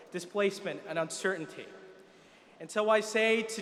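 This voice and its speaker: Noticeable background noise sits behind a man with an American accent and a high pitch who speaks at a moderate pace. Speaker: student commencement speaker. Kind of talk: commencement speech. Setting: arena ceremony with audience. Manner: formal, impassioned oratory.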